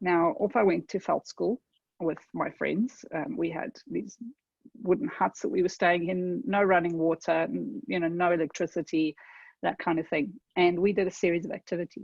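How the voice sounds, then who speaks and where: A woman with a South African accent, her fairly low pitch carrying vocal fry and lively intonation at a moderate pace. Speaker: tech consultant. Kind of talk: webinar presentation. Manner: conversational, with fillers.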